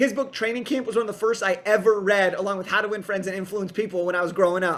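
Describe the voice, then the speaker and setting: Very fast and animated, a man with a high pitch talks with hardly any pauses. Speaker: podcast host and book coach. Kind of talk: solo podcast monologue. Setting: podcast.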